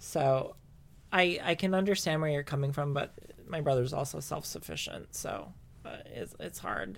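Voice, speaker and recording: Speaking at a moderate pace, a woman uses a very deep, low pitch with vocal fry. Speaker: podcast co-host. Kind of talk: casual chat.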